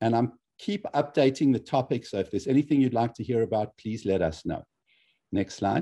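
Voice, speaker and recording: A man with a dark, mellow tone talks at a fairly quick pace against a quiet background. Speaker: cardiologist and lecture series host. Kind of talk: event moderation. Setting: video call. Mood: warm, appreciative. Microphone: video call.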